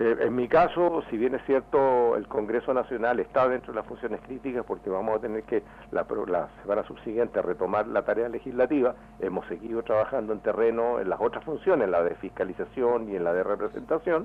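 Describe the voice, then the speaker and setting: With hardly any pauses, an unremarkable speaking voice moves at a fairly quick pace with ordinary pitch variation. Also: man, medium pitch for a man. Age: 60s. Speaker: member of parliament. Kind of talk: radio interview.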